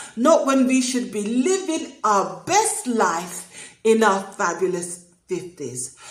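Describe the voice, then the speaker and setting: A woman speaking at a very slow pace with very wide pitch swings, over noticeable background noise. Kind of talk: casual talk to camera. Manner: warm, chatty.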